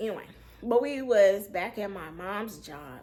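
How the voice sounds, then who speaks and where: Audible room echo surrounds a woman speaking at a moderate pace and a medium pitch. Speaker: storyteller vlogger. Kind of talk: storytime monologue. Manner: casual, with many fillers.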